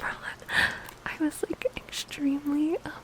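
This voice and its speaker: The speaker whispers amid noticeable background noise. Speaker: ASMR creator. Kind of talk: ASMR rambling to sleep. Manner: whispered, soft-spoken.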